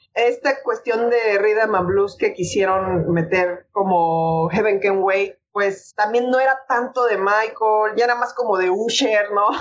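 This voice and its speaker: Very even loudness at a very slow pace, with ordinary pitch variation and hardly any pauses. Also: woman, medium pitch for a woman. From Mexico City. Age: 30s. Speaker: voice actress. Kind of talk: interview.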